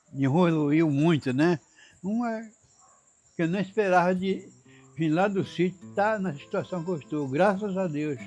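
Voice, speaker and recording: With music in the background, the speaker goes at a fairly slow pace with ordinary pitch variation and long, frequent pauses. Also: man, high pitch for a man. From Amazonas interior, Brazil. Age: 90s. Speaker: elderly local resident. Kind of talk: interview testimony. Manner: halting.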